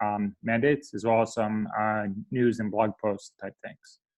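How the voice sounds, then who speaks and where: A man speaks at a moderate pace. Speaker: data scientist giving a conference talk. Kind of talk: presentation talk. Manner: halting, many fillers.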